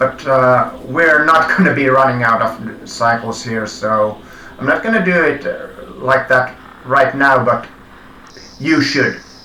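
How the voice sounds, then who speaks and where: Over noticeable background noise and audible room echo, a speaker with a non-native accent talks very slowly with ordinary pitch variation. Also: man. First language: not English. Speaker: live coding streamer. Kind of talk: live coding tutorial. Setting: live stream. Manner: halting, many self-corrections.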